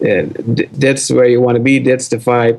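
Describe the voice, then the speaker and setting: A man with a Dutch accent speaks at a moderate pace and medium pitch, with fairly even intonation. Noticeable background noise runs underneath. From Netherlands. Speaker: startup founder. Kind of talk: interview.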